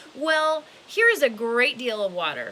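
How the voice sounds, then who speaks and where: In a put-on character voice, a woman speaks at a moderate pace with a high pitch. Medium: read story.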